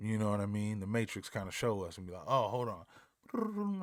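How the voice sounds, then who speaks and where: On a very clean recording with a silent background, a man speaks at a moderate pace in a fairly low voice. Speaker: music videographer and reaction youtuber. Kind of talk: casual reaction commentary. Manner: soft-spoken.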